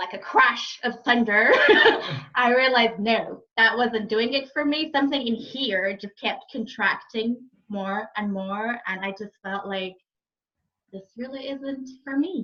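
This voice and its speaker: A plain, everyday voice from a woman with an American accent, fairly high in pitch, with ordinary pitch variation, big swings in loudness and a fairly slow pace. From Egypt, raised also in France and Saudi Arabia. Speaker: happiness and fulfilment coach. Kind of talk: podcast interview.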